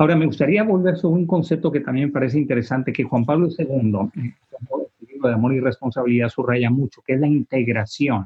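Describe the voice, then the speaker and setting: Talking very fast, a man uses ordinary pitch variation. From Tijuana, Mexico. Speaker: priest. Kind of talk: panel discussion. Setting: video call.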